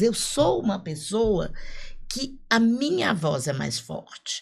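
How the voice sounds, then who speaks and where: This is a woman speaking. Her voice has vocal fry. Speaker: podcast co-host, speaker. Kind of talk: casual podcast conversation. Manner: animated.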